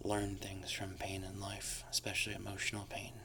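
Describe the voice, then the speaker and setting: Moderately paced whispering from a man. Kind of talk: ASMR tarot reading. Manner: soft-spoken, whispering.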